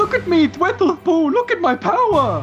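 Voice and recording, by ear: Put-on character voice at an extremely high pitch and a moderate pace, with clear music in the background.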